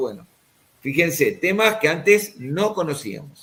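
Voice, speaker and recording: A man at a very slow pace, with lively intonation. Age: 60s. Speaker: spine surgeon. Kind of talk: interview.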